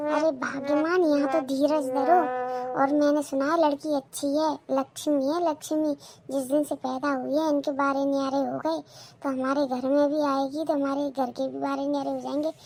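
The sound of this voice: With a cartoonish character voice, a woman talks at a high pitch and a moderate pace in monotone, flat intonation.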